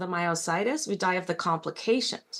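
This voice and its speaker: A woman speaks at a moderate pace with a medium pitch. She has a plain, everyday voice. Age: 60s. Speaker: patient panelist. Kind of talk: panel discussion. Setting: virtual meeting.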